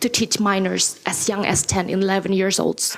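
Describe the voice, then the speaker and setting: Noticeable background noise sits behind a woman with a non-native accent who speaks at a medium pitch and moderate pace in a monotone, flat intonation. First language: not English. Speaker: parent giving public comment. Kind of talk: public comment speech. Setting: podium at public board meeting. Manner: halting.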